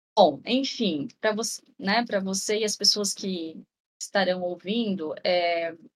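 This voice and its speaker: This woman has a normal speaking voice at a medium pitch, moving at a fairly slow pace with ordinary pitch variation. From interior of São Paulo state, Brazil. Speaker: health researcher on rare diseases. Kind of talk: casual interview.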